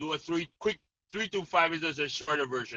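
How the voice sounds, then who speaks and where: In a Jamaican accent, a man talks at a high pitch with a bright, sharp tone, and the sound is dry and close with no echo. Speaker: mental conditioning coach. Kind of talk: interview explanation.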